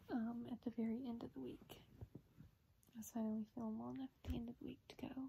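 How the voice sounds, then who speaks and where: An unremarkable speaking voice with an American accent, fairly even intonation and a fairly quick pace, over light background noise. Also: woman, fairly high pitch for a woman. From US South. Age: 20s. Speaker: vlogger with a rare disease. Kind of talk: personal video update. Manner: casual, filler-heavy. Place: home room. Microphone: phone near.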